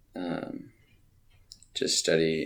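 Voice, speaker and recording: A man with an American accent. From US Pacific Northwest (Tacoma, Washington). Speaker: glass artist. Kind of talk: interview. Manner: halting, filler-heavy.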